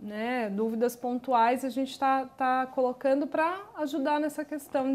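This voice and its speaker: A woman's high voice moves at a fairly slow pace, its intonation fairly even. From Brazil. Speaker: social worker; guest. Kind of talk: TV talk show interview. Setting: studio. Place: studio. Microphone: lapel.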